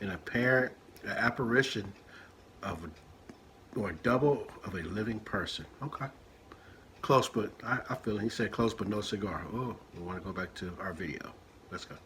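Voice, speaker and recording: In an ordinary speaking voice, a man with an American accent talks at a moderate pace, fairly low in pitch, with ordinary pitch variation. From Richmond, California, Bay Area. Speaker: chef reacting to videos. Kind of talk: reaction commentary. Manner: casual, reads aloud a definition.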